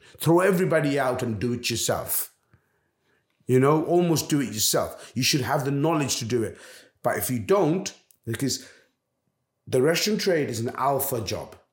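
A man's fairly high, somewhat breathy voice with lively intonation, at a moderate pace with long, frequent pauses, in audible room echo. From London. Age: 40s. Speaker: restaurant owner. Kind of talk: interview.

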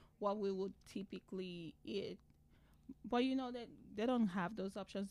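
Speaking at a moderate pace in a Nigerian accent, a woman of medium pitch uses ordinary pitch variation. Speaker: podcast guest, immigrant mother. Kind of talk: casual chat.

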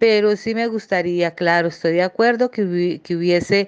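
The woman speaks with a fairly low pitch. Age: 40s. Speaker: primary school teacher. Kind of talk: interview. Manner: halting, many fillers.

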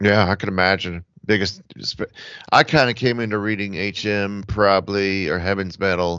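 A man with an American accent speaks at a moderate pace. He has an ordinary speaking voice with a fairly low pitch. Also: fairly even intonation. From Atlanta area, US South. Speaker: podcast host. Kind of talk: casual chat.

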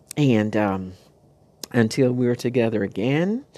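Speaking at a fairly slow pace with lively intonation, the voice has a dark, mellow, warm and gentle tone. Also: woman. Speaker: radio-style spiritual talk host. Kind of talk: monologue addressing listeners, warm inspirational talk. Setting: recorded tape or broadcast. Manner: warm, encouraging, gentle.

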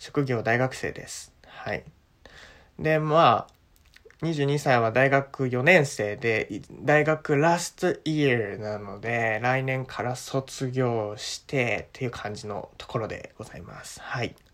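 This man speaks in a relaxed tone at a medium pitch with ordinary pitch variation. His pace is very slow, and his loudness swings widely. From Japan. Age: 20s. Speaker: podcast host, university student. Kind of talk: casual monologue for language learners. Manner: relaxed, many fillers.

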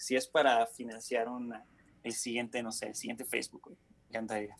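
Here a man speaks at medium pitch. His pace is fairly quick. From Mexico, raised partly in Honduras and the US. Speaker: student and content creator. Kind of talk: casual chat.

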